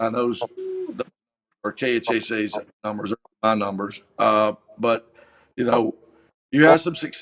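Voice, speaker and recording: The speaker has a Kentucky Appalachian accent and talks at a fairly slow pace with long, frequent pauses. Pitch varies in an ordinary way, and the sound is dry and close with no echo. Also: man, medium pitch for a man. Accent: Kentucky Appalachian Southern US. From eastern Kentucky, US. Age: 60s. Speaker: high school football coach. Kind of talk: interview. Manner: halting, many fillers.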